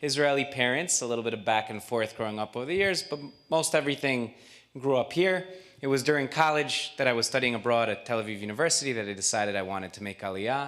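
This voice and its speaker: Very fast speech in a New York accent, lively intonation. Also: man, medium pitch for a man. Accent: New York American English. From US Northeast (Queens, New York). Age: 40s. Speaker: nonprofit volunteer, former army spokesman. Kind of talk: presentation speech. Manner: fluent, brisk.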